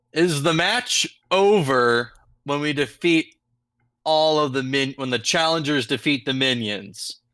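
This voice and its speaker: On a very clean recording with a silent background, a man puts on a booming character voice at fairly high pitch and a fairly slow pace. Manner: declaring, commanding.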